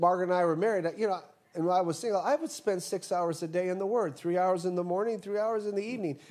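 Pitched high, a man talks at a moderate pace, his pitch varying in an ordinary way. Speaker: guest preacher and college teacher. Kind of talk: sermon.

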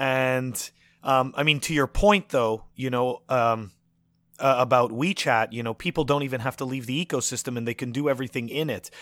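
A man with a Canadian accent talks at a moderate pace in an ordinary speaking voice, medium in pitch with ordinary pitch variation, on a very clean recording with a silent background and a dry, close sound with no echo. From Montreal, Canada. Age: 30s. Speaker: podcast host. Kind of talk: casual chat.

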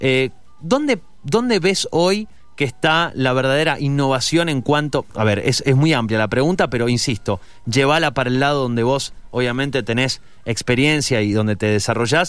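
A man speaks at a medium pitch with ordinary pitch variation and very even loudness, music playing in the background. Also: moderate pace. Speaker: radio host. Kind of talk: radio interview.

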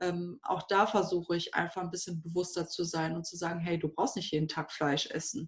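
A woman with a fairly low, somewhat breathy voice talks at a fairly quick pace with hardly any pauses and fairly even intonation against a quiet background. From Germany, Düsseldorf. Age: 30s. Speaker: wedding and funeral speaker. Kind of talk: casual interview.

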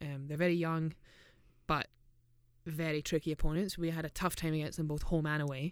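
Speaking with a Scottish accent in a very deep, low voice, a woman delivers her words in a monotone, flat way at a fairly quick pace, broken by long, frequent pauses, on a very clean recording with a silent background. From Scotland. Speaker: professional footballer and podcast co-host. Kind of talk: casual chat. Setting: studio.

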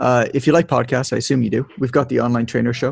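A man with a Canadian accent speaks at a medium pitch with vocal fry and ordinary pitch variation, in a dry, close sound with no echo. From Canada, Toronto. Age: 30s. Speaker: fitness business educator, former personal trainer. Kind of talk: interview.

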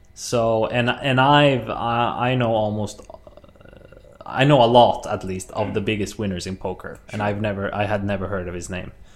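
Fairly quick speech from a man with a fairly low voice and ordinary pitch variation, amid noticeable background noise. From Sweden. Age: 20s. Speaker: professional poker player and comedian. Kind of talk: casual interview chat.

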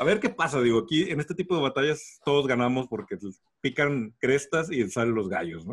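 With a Mexican accent, a man talks at a fairly quick pace, his pitch fairly high and swinging very widely. Vocal fry runs through his speech. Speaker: podcast co-host. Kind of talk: casual chat.

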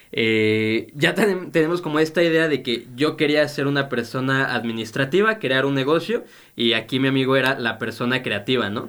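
A man's ordinary speaking voice at a medium pitch, fairly slow in pace, on a very clean recording with a silent background. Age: 20s. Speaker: podcast co-host, student and café supervisor. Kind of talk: casual chat. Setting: studio.

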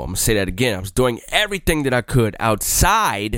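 An ordinary speaking voice from a man, medium in pitch, with lively intonation. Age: 20s. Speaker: podcast host. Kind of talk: casual monologue.

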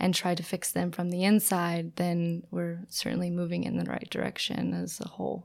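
Over noticeable background noise, a woman with an American accent speaks at a moderate pace with hardly any pauses. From United States. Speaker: sustainability consultant. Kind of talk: interview.

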